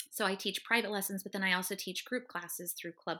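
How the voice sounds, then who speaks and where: Her voice has a bright, sharp tone and fairly even intonation. The recording is very clean, with a silent background. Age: 40s. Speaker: Pilates instructor. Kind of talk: casual chat.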